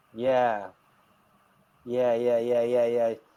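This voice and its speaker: Speech comes at a fairly slow pace. It carries an English accent. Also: man. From England. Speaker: online English tutor. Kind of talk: casual chat.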